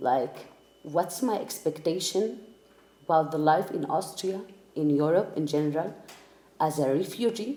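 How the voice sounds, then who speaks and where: A woman with an Arabic accent, very deep and low in pitch, at a moderate pace with lively intonation. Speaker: refugee interviewee. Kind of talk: personal testimony. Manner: halting, many fillers.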